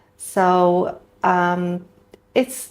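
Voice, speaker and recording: A woman with a Polish accent speaks at a medium pitch. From Poland. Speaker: dentist, prosthodontist. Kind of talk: interview podcast.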